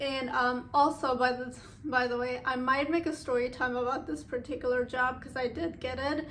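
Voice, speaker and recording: Through noticeable background noise, a woman speaks in a high voice with fairly even intonation. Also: moderate pace. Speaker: YouTuber sharing personal stories. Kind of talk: casual story time.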